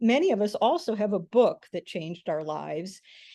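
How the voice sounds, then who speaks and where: A woman with an unremarkable speaking voice and an American accent talks at a moderate pace, her fairly high pitch carrying lively intonation, with a dry, close sound with no echo and a quiet background. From US Midwest (rural Michigan). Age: 60s. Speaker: author and podcast guest. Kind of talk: interview storytelling.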